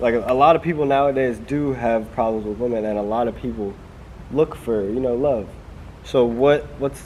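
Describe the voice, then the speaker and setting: The speech has fairly even intonation and a moderate pace, with noticeable background noise. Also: man, medium pitch for a man. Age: 20s. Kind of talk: casual talk to camera.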